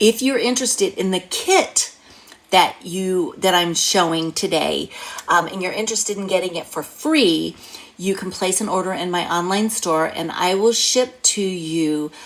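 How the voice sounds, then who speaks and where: A woman talks at a moderate pace and medium pitch with ordinary pitch variation against noticeable background noise. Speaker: craft demonstrator and card-making teacher. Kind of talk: tutorial. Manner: animated.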